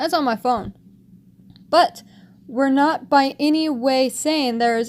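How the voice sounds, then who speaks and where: The woman's voice sits at a high pitch. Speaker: vlogger commenting on news articles. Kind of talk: reading aloud articles with commentary. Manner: stuttering at times.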